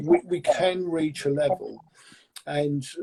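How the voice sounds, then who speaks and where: The voice is somewhat breathy with a dark, mellow tone, in a dry, close sound with no echo. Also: man. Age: 60s. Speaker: medium. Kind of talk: interview. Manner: halting.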